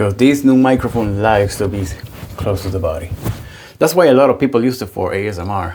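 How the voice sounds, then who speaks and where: At a fairly quick pace, a man speaks at a fairly low pitch with ordinary pitch variation. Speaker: wet shaving youtuber. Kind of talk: casual product review. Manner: loud.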